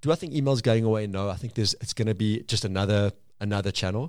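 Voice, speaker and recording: Speaking at a very fast pace, a man uses a fairly low pitch and ordinary pitch variation. The recording is very clean, with a silent background. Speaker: podcast guest. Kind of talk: casual chat.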